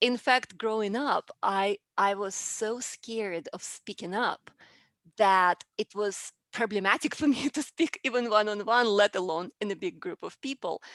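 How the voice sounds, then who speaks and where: At a moderate pace, the speaker talks with a Russian accent and ordinary pitch variation, in a dry, close sound without echo on a very clean recording with a silent background. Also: woman, fairly high pitch for a woman. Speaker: public speaking coach. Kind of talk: interview.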